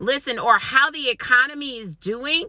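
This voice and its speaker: A woman with a high-pitched voice speaks with lively intonation against noticeable background noise. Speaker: online business coach. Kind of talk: motivational talk to camera. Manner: energetic.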